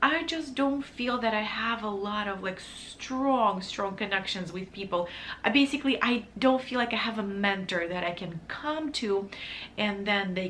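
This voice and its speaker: With a non-native accent and lively intonation, a woman speaks through noticeable background noise and audible room echo. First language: not English. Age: 30s. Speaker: vlogger, wedding photographer. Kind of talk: casual vlog talk to camera. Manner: halting, self-correcting.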